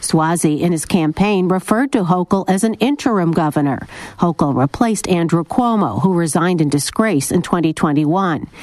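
Here is a woman with an unremarkable speaking voice, fairly low in pitch and lively in intonation. She keeps a moderate pace and very even loudness, in a dry, close sound with no echo. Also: hardly any pauses. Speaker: radio reporter. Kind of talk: scripted news report.

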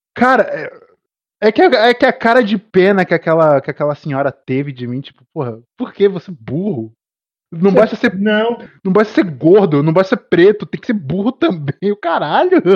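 A man with a high voice talks at a moderate pace with very wide pitch swings, the sound dry and close with no echo. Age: 20s. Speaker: podcast host. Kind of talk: casual chat. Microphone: connection dropping out.

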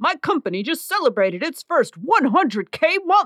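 The voice is a put-on character voice pitched high. Its pitch swings very widely. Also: moderate pace. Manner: put-on character voice, mocking online-business hype.

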